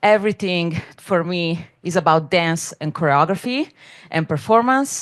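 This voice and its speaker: A woman's fairly low voice with a non-native accent, lively intonation and a fairly slow pace against a quiet background. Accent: noticeable non-native. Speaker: dance scholar and curator. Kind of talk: panel presentation.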